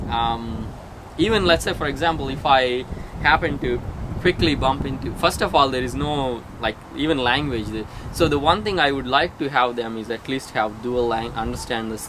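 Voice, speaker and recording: Speaking in a Telugu accent at a moderate pace, a man uses a medium pitch with ordinary pitch variation over noticeable background noise. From India, Andhra Pradesh. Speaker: software engineer. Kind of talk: casual interview. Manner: halting.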